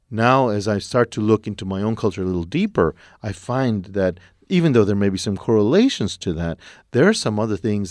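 Heard on a very clean recording with a silent background, a man with an American accent speaks in a fairly low pitch with ordinary pitch variation and an ordinary speaking voice. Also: dry, close sound with no echo. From Texas, El Paso. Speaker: playwright. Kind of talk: interview.

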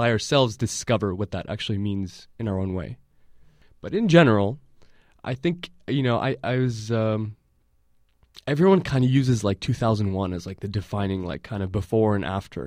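In a normal speaking voice, a man with an American accent talks at a moderate pace and a fairly low pitch. His pitch varies in an ordinary way, and the recording is very clean with a silent background. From San Francisco Bay Area, US. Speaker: filmmaker and activist. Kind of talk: interview. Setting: studio.

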